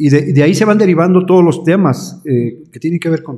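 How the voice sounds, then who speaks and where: A man speaks in a somewhat breathy voice. His tone is dark and mellow. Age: 60s. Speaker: pastor. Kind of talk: interview. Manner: halting.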